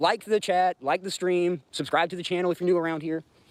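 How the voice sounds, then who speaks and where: Speaking in a Southern US accent, a man uses a high pitch and an animated tone. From US South, Georgia. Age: 30s. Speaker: livestreamer. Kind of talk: casual livestream chat.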